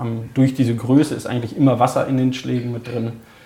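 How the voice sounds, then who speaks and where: There is audible room echo around this man's dark, mellow, somewhat breathy voice. His intonation is flat and monotone. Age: 20s. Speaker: hunter and holiday resort operator. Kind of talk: casual interview.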